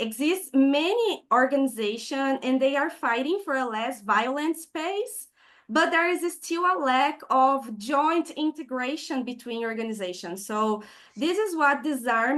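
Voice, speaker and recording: A woman with a Brazilian Portuguese accent speaks at a fairly slow pace with a high pitch and lively intonation. The background is quiet. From southern Brazil. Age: 20s. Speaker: peace activist. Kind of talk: online presentation.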